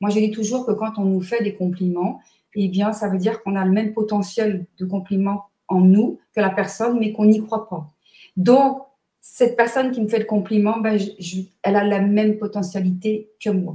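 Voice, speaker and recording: Moderate pace, with a dark, mellow tone that is somewhat breathy. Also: woman, medium pitch for a woman. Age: 60s. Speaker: numerologist and therapist. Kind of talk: interview. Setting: live stream. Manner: energetic.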